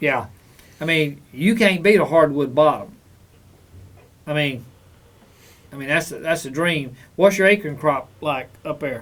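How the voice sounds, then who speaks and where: A man with a Southern US accent talks at a fairly high pitch and a fairly slow pace, with ordinary pitch variation. His loudness swings widely, and he leaves long, frequent pauses. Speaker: hunting radio show host. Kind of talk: call-in radio show.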